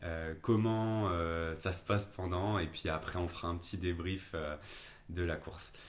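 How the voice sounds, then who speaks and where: Speaking with a very deep, low pitch, a man keeps his intonation fairly even. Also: fairly slow pace. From France, Lyon. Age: 20s. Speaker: amateur trail runner, vlogger. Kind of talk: casual vlog talk. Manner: hesitant, many fillers.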